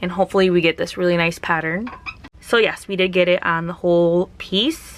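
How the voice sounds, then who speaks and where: A woman with an unremarkable speaking voice talks at a medium pitch. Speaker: craft youtuber. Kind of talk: tutorial. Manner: casual.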